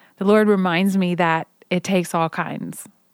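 A woman at a moderate pace, with a dry, close sound and no echo. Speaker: podcast host and worship artist. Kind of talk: devotional monologue. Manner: soft-spoken.

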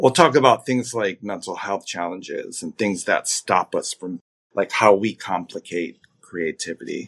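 Lively intonation marks this man's normal speaking voice, pitched fairly low. He goes at a fairly slow pace against a quiet background. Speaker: creativity coach and singer. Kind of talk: casual interview.

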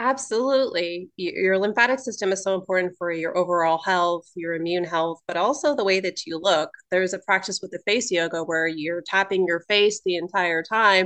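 This is an ordinary speaking voice with ordinary pitch variation. It moves at a moderate pace with hardly any pauses. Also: woman, medium pitch for a woman. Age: 30s. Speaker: holistic nutritionist and cosmetologist. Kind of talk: casual chat.

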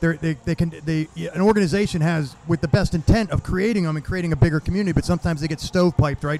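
This man has a fairly high pitch and a normal speaking voice. His pitch varies in an ordinary way. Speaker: podcast host and veteran. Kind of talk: casual interview chat. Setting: outdoors at a charity event.

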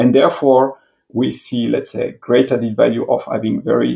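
A man with a French accent at a moderate pace. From France. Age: 40s. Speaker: industry executive. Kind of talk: interview. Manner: halting.

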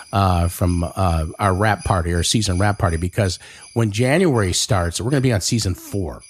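The man's voice sits fairly low and sounds somewhat breathy. He keeps a moderate pace, very even loudness and ordinary pitch variation. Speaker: podcast host. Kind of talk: casual chat. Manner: animated.

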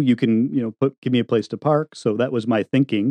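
At a fairly quick pace, a normal speaking voice delivers the words with fairly even intonation. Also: man. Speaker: tiny house builder and podcaster. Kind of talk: casual interview chat. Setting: remote recording with studio mic.

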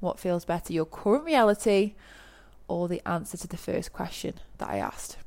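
A woman with an English accent speaks at a medium pitch and a moderate pace. Her tone is animated, with ordinary pitch variation. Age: 30s. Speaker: podcast host, online business coach. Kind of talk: solo podcast monologue.

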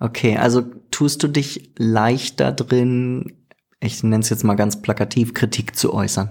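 A plain, everyday voice from a man, medium in pitch, at a fairly slow pace with ordinary pitch variation. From Germany. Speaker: podcast host. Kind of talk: casual interview chat. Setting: studio, evening recording.

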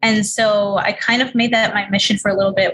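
A fairly high-pitched woman at a moderate pace, fairly even intonation, noticeable background noise behind her. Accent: American. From New York City, Queens. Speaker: author and entrepreneur. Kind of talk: interview.

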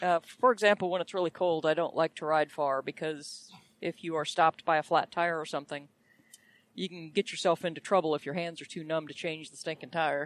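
A plain, everyday voice moves at a fairly quick pace with fairly even intonation and big swings in loudness, the sound dry and close with no echo. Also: woman, fairly low pitch for a woman. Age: 50s. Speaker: podcast co-host. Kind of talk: casual chat. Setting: in a car.

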